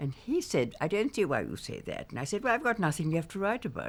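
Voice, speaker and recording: A woman with vocal fry and very wide pitch swings at a fairly quick pace. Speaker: memoirist and former publisher. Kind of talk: interview answer.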